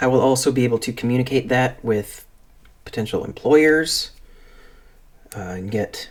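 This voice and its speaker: A man of medium pitch speaks at a moderate pace with ordinary pitch variation and long, frequent pauses, in a very clean recording with a silent background. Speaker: streamer. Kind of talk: casual chat. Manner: halting; soft-spoken.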